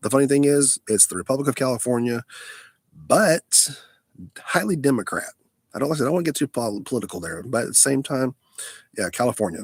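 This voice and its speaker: With an American accent and vocal fry, a man speaks at a medium pitch and fairly quick pace in a dry, close sound with no echo. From Alabama, US South. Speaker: live streamer. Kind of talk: casual live stream chat. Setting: mobile live stream, lying down. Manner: halting, many fillers.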